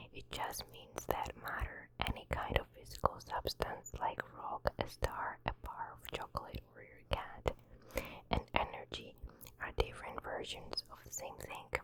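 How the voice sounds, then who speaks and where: A whisper in a non-native accent at a fairly slow pace, over noticeable background noise. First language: not English. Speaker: ASMR creator. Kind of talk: reading aloud. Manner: soft-spoken.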